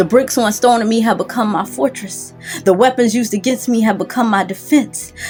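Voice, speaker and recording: A woman with a fairly high pitch, ordinary pitch variation, and a fairly quick pace over background music. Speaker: spoken word poet. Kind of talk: spoken word poetry performance.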